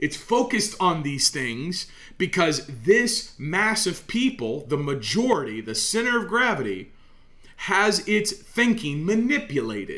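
The voice has a bright, sharp tone and very wide pitch swings. Room echo is audible. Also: man, high pitch for a man, fairly slow pace. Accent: American. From Oklahoma, US. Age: 30s. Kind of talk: solo podcast monologue, sermon-like.

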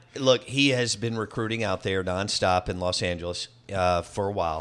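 A man with a Southern US accent and a fairly low pitch, moderate pace, and ordinary pitch variation, on a very clean recording with a silent background. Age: 40s. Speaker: sports radio host. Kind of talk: casual chat. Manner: animated.

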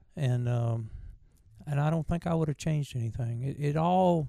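The voice has a dark, mellow tone with a Southern US accent. Its pitch varies normally, and the pace is moderate. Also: man. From Virginia, US. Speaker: bluegrass bandleader and mandolin player. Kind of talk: casual interview, storytelling. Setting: convention interview.

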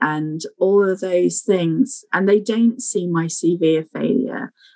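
The sound is dry and close, with no echo. A woman speaks with ordinary pitch variation. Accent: English. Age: 40s. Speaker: infection prevention clinical scientist. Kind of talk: interview.

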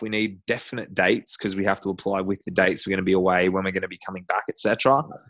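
Here a man speaks with an Australian accent and fairly even intonation. The background is quiet. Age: 30s. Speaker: CrossFit athlete. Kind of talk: casual interview.

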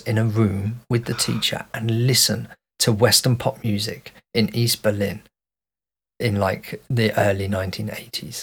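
The voice is somewhat breathy, with a Birmingham accent. It moves at a fairly slow pace with fairly even intonation. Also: man. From Birmingham, England. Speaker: podcast co-host. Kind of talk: casual chat.

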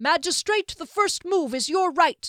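A woman speaks loudly in a put-on character voice with an extremely high pitch and a fairly bright tone. She goes at a fairly slow pace with lively intonation. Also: dry, close sound with no echo.

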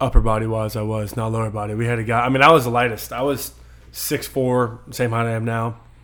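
A man speaks very fast with an American accent. His intonation is monotone and flat. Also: medium pitch for a man. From Hanover County, Virginia. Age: 20s. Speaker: former college football player. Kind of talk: casual interview.

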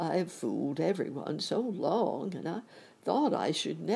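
The reading voice sounds natural, and its intonation is lively.

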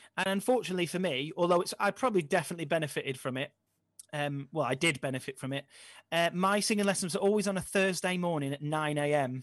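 Very fast talk comes from a man with a high pitch and ordinary pitch variation. The background is quiet. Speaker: musical theatre performer. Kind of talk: casual chat. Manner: halting.

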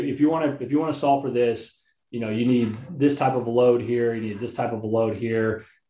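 Talking at a very fast pace, a man with an American accent has a medium pitch, ordinary pitch variation and a dark, mellow tone. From Texas, Houston. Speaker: army veteran and company co-founder. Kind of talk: podcast interview.

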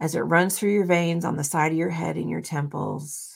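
The recording is very clean, with a silent background. A woman speaks at a fairly low pitch. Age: 50s. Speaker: spiritual podcaster. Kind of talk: guided meditation; casual solo talk. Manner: slow, calm, soothing; gentle, instructive.

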